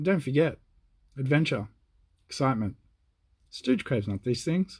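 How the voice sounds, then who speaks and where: A man speaks quietly in a British accent at medium pitch and a moderate pace. His voice is somewhat breathy and his intonation lively. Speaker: comic book dealer and video host. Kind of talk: casual unboxing chat. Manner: talking quietly.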